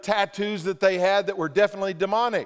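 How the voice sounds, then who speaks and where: A loud, animated man at a high pitch and a fairly quick pace. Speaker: pastor. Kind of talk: sermon. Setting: church.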